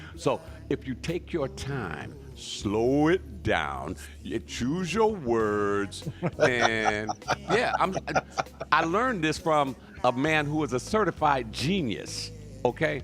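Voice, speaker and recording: Over music in the background, the speaker goes at a very slow pace with long, frequent pauses. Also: man. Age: 60s. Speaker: radio host. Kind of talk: casual chat. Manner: slow, deliberate; pauses when speaking.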